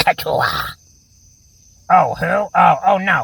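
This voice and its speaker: A raspy, put-on character voice. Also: man. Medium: audio drama. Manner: rambling, hesitant, full of filler words.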